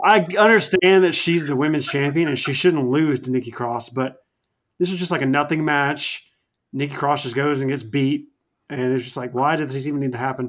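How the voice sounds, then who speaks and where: A man with a normal speaking voice, fairly high pitch, ordinary pitch variation and a fairly quick pace. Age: 20s. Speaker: wrestling podcast co-host. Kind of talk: casual chat.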